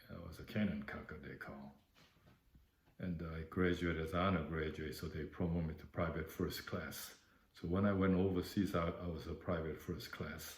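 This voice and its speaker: Speaking with a Korean accent, a man uses a very deep, low pitch, a moderate pace, fairly even intonation and a somewhat breathy sound. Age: 70s. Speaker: war veteran. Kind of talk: oral history interview. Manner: halting.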